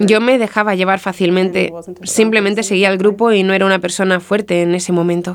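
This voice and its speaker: Speaking at a fairly quick pace, a woman keeps a medium pitch and very even loudness. Her intonation is monotone and flat. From US Midwest, Marshfield, Wisconsin. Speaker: guest sharing faith story. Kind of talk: testimony.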